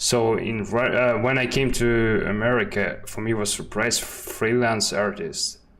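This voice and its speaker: A man with a Russian accent speaks at a fairly slow pace and a medium pitch, with ordinary pitch variation, hardly any pauses, and noticeable background noise. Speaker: 3D artist, stream host. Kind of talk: casual chat. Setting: live stream. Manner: halting, non-native phrasing.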